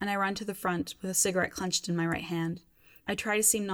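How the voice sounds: The intonation stays fairly even as a natural reading voice carries on.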